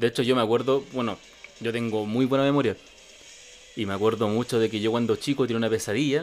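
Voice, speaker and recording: A man with a Chilean accent, fairly even intonation and a fairly quick pace. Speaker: podcast host. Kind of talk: casual chat.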